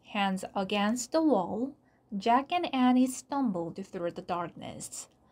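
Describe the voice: The clip is plain reading aloud. Its intonation is lively.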